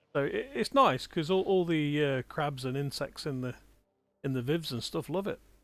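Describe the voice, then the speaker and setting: With music playing behind him, a man speaks at a moderate pace in a fairly high voice. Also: ordinary pitch variation. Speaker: gaming streamer. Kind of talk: live gameplay commentary. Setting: small room with other people.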